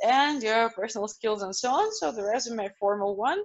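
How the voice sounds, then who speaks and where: Here is a woman with a Russian accent. Her voice is fairly high. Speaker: university representative. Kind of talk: online presentation with Q&A.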